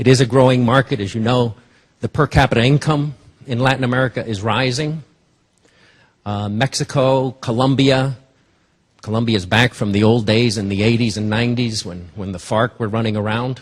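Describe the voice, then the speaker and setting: His voice comes out somewhat breathy. The man keeps his intonation fairly even. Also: medium pitch for a man, moderate pace. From Cuba, raised in New Jersey. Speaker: business executive. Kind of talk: investor presentation.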